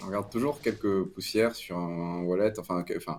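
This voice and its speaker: This man's voice sits fairly low, his pitch moves in an ordinary way, and his speed is moderate. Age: 20s. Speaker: crypto media founder. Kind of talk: interview. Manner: halting, many repetitions.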